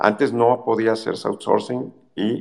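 At a fairly slow pace, a man of medium pitch talks in an unremarkable speaking voice. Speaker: economist. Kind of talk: call-in commentary.

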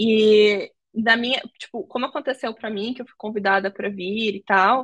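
A woman's fairly high, bright, sharp voice at a moderate pace, with ordinary pitch variation and a dry, close sound free of echo. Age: 20s. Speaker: tech recruiter. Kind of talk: casual interview. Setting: live video call.

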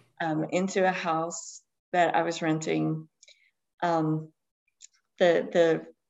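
The speaker talks in an American accent with monotone, flat intonation. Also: woman. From Eastern Kentucky. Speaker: novelist. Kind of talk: podcast interview.

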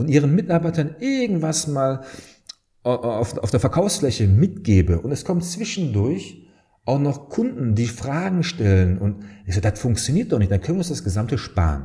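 Somewhat breathy and dark, mellow in tone, a man's medium-pitched voice moves at a moderate pace with very wide pitch swings. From Germany, Dortmund (Ruhr area). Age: 30s. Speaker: founder and sales trainer. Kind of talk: casual interview.

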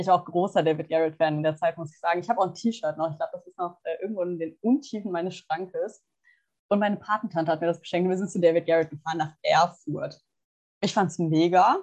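Her pitch is fairly low and varies in an ordinary way. This woman talks very fast, with big swings in loudness. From Germany, small town. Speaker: podcast co-host, psychology student. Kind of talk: casual chat.

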